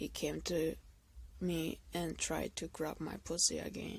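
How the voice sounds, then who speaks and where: Her pace is very slow. The woman speaks with a non-native accent. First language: not English. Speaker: video blogger, abuse survivor. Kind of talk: personal testimony monologue. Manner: halting, self-correcting.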